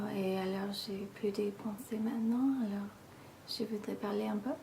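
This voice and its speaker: A woman's voice amid noticeable background noise. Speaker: ASMR video creator. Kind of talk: casual ramble to camera.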